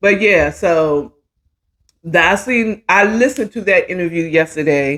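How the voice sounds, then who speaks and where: Her pitch swings very widely. The woman speaks at a fairly slow pace. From DMV area (Washington DC region), US. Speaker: talk show host. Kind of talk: casual chat.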